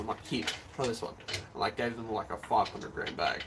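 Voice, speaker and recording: With noticeable background noise behind him, a man speaks in a medium-pitched voice with an Australian accent. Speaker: arm wrestler streaming live. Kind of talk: live stream chat. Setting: live stream on camera. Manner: casual, many filler words.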